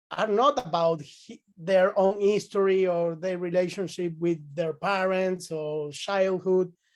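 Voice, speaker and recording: Against a quiet background, a man speaks at a fairly slow pace with a high pitch. His pitch varies in an ordinary way. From Venezuela. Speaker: psychotherapist. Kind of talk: casual chat. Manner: halting.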